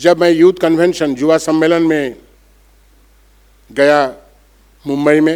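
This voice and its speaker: Monotone and flat, a man's fairly high voice is broken by long, frequent pauses. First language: Bengali (speaking Hindi). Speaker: monk. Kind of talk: conference speech. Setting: auditorium with audience.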